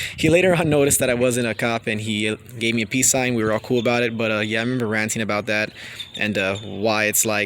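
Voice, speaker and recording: A man speaks very fast at medium pitch, with ordinary pitch variation. Background noise is noticeable. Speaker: car YouTuber. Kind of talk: casual vlog talk. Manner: stuttering, many fillers.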